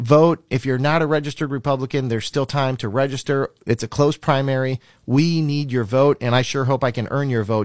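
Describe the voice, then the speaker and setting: In an ordinary speaking voice with an American accent, a man of medium pitch speaks at a fairly quick pace with ordinary pitch variation, on a very clean recording with a silent background and a dry, close sound with no echo. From Minnesota. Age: 40s. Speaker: congressional candidate. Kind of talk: campaign interview.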